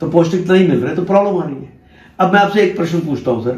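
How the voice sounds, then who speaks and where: A man talks in a high pitch. Audible room echo and noticeable background noise fill the recording. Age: 60s. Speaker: organic farming promoter. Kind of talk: sales pitch; persuasive conversation.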